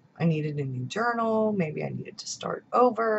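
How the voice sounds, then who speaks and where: A somewhat breathy woman at a moderate pace, over light background noise. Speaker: journaling and planner YouTuber. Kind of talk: casual vlog monologue. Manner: chatty. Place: home room. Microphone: webcam.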